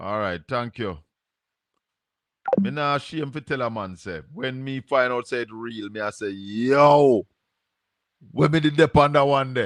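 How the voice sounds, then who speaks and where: Speaking fairly slowly with long, frequent pauses, a man with a Jamaican accent uses lively intonation and big swings in loudness, recorded dry and close with no echo. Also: medium pitch for a man. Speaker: call-in show host. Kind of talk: call-in talk show.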